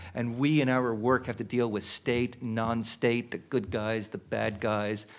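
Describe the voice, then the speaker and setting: A man with a medium pitch speaks at a fairly slow pace, his intonation fairly even. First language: not English. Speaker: panelist on humanitarian technology. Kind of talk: panel discussion. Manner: hesitant, many fillers.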